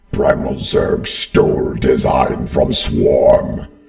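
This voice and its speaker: A man performs a put-on character voice with a raspy sound. He speaks at a very slow pace. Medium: voice reel. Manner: clipped, terse, fragmented phrasing.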